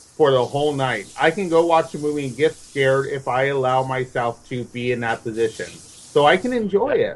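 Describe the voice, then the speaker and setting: This is an ordinary speaking voice with ordinary pitch variation. It moves at a fairly quick pace with hardly any pauses. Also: man, fairly high pitch for a man. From Mexican-American neighborhood, US. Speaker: horror film guest. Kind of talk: casual chat.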